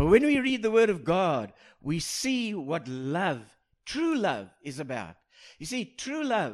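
A man at a fairly slow pace, his pitch swinging very widely, on a very clean recording with a silent background. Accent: South African. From South Africa. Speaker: pastor. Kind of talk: sermon. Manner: halting, repeats words.

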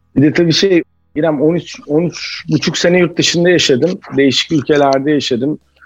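A man's fairly high voice at a moderate pace, with fairly even intonation and very even loudness, over music in the background. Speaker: chef and restaurant executive. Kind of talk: casual interview.

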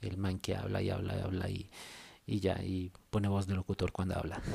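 A man with a very deep, low pitch speaks at a moderate pace. Vocal fry runs through his voice. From Colombia. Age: 30s. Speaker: podcaster. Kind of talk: casual monologue. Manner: modulated radio-style delivery.

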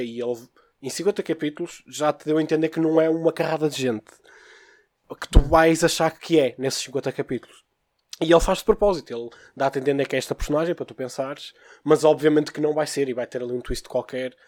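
In a dry, close recording with no echo, a man with an ordinary speaking voice talks fairly quickly at a fairly high pitch, with fairly even intonation and big swings in loudness. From Porto, northern Portugal. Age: 20s. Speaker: podcast guest, manga fan. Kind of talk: casual chat.

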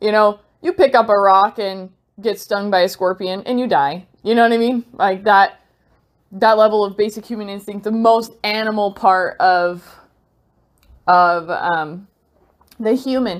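At a fairly slow pace, a woman of medium pitch speaks with ordinary pitch variation and long, frequent pauses. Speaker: solo podcaster. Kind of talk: spiritual monologue. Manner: rambling, with frequent hesitations.

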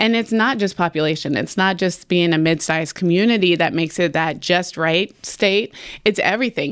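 A woman's medium-pitched voice in an American accent, at a moderate pace with ordinary pitch variation. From Roanoke, Virginia (Wasena). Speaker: realtor. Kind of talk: casual interview. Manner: animated.

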